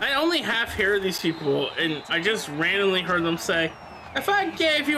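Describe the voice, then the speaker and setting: Noticeable background noise and audible room echo surround a man's raised, projected voice with lively intonation. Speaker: gamer streamer. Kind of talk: casual chat.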